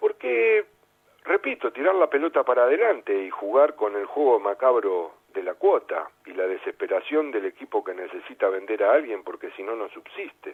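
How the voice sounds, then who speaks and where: A man with a Rioplatense accent talks at a moderate pace with big swings in loudness. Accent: Argentine Rioplatense Spanish. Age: 60s. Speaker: sports journalist and former footballer. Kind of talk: radio interview. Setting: radio studio.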